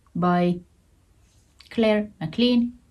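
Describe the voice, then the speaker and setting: Very slow and somewhat breathy, the voice carries a Finnish accent. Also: woman. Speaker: knitting vlogger. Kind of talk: casual show-and-tell vlog. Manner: halting, repeats words.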